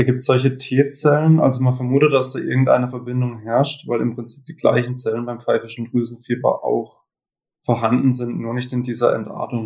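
Speaking at a fairly quick pace, a man delivers his words in a somewhat breathy, medium-pitched voice with monotone, flat intonation. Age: 20s. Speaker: cancer survivor. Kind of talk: interview.

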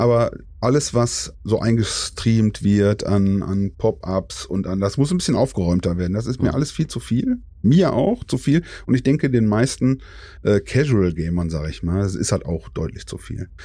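This man talks at a moderate pace in a fairly low pitch. His tone is dark and mellow, with lively intonation. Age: 40s. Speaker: gamer, outlaw player group member. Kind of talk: casual chat.

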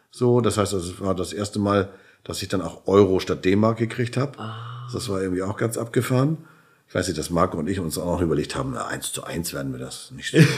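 Heard in a very clean recording with a silent background, a man speaks at a fairly low pitch with vocal fry. His intonation is lively. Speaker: chiropractor and entrepreneur. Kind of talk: interview. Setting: hotel room.

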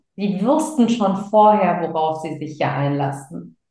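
At a fairly slow pace, a woman with a medium pitch sounds somewhat breathy, her dark, mellow tone carrying lively intonation. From Germany, of Sri Lankan Tamil parents. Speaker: speaker and business coach. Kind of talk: casual interview.

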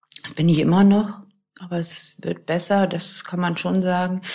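A woman with a medium-pitched voice talks amid audible room echo. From northern Germany, near Celle. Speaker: widow telling her grief story. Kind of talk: personal testimony interview. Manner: halting, many fillers.

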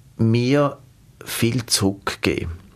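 In a Swiss accent, a man talks at a medium pitch with fairly even intonation. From Switzerland. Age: 40s. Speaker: humanitarian aid worker. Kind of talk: interview.

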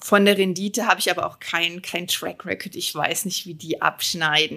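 A woman of medium pitch with vocal fry speaks at a moderate pace in a bright, sharp tone with fairly even intonation, on a very clean recording with a silent background. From Germany, Moselle region. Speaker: winemaker and finance professional. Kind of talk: podcast interview.

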